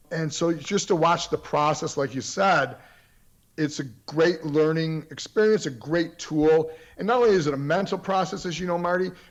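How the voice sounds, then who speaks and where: This man has a plain, everyday voice, pitched fairly high with ordinary variation. He talks at a moderate pace against a quiet background. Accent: American. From Florida. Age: 60s. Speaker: periodontist and martial artist. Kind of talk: podcast interview.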